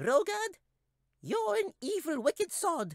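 In a squeaky put-on character voice at an extremely high pitch, the speaker moves at a fairly slow pace with very wide pitch swings. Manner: angry.

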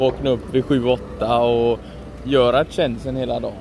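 A man is speaking with noticeable background noise. The sound is dry, with no echo. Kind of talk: casual vlog chat. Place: street. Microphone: phone near.

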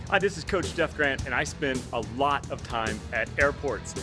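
Clear music plays behind a man talking at a moderate pace. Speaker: fitness coach. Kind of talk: casual vlog chat. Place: station. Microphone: phone near.

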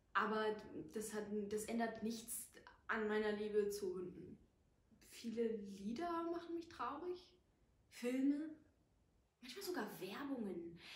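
Speaking very slowly with long, frequent pauses, a woman uses lively intonation at a fairly high pitch. Her voice is somewhat breathy, and room echo is audible. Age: 20s. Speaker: actress; actress introducing herself. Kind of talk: casual chat. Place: home room.

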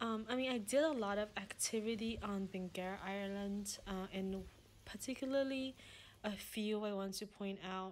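At a moderate pace, a woman speaks with fairly even intonation over light background noise. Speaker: travel agent host. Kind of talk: casual tour commentary. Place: home room. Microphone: phone near.

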